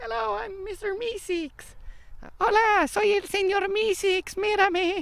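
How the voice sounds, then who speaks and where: The put-on character voice sits at an extremely high pitch and moves at a fairly slow pace. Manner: cheerful, eager.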